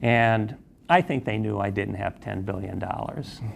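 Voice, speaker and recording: A man speaks with an American accent. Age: 60s. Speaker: investigative journalist. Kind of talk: interview testimony. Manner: halting, many fillers.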